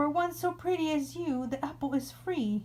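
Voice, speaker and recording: Over clear background noise, a woman uses a high-pitched, put-on character voice at a moderate pace. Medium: read story.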